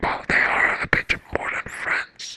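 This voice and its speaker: A woman whispers at a very slow pace in a dry, close sound with no echo. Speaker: ASMR artist and book reviewer. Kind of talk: casual rambling review to camera. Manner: whispered, soft, rambling.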